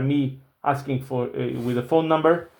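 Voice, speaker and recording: A man's fairly high voice in monotone, flat intonation. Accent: non-native. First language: not English. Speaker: finance YouTuber. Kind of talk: casual commentary. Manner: casual, hesitant with fillers.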